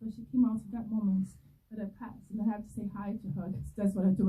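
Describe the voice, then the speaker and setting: At a very fast pace, a woman speaks in a medium pitch with a dark, mellow tone that is somewhat breathy. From Brazil. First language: Portuguese. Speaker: filmmaker. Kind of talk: festival Q&A. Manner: animated.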